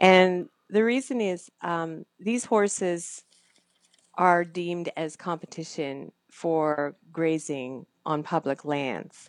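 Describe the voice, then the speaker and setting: A woman in a Canadian accent speaks at a fairly low pitch and a very slow pace, with ordinary pitch variation. The recording is very clean with a silent background and has a dry, close sound with no echo. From Canada. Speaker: former radio broadcaster, photographer and animal advocate. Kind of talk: interview.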